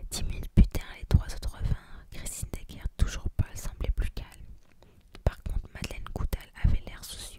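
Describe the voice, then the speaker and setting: Whispering at a moderate pace, a woman speaks with big swings in loudness. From France. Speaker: ASMR creator. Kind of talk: audiobook-style reading of a detective novel. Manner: hard whispers, ASMR.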